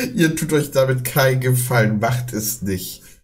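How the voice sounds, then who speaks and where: Speaking at a very slow pace, a man sounds somewhat breathy, with fairly even intonation. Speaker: reaction streamer. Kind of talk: casual reaction commentary.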